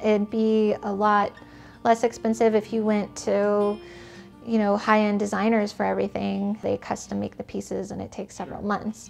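Faint background music behind a woman speaking at a moderate pace. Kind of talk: interview answer. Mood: calm, friendly. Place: home room.

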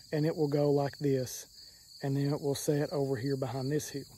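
A man's speech comes through in a dry sound with no echo. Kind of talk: casual vlog chat. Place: garden. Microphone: phone near.

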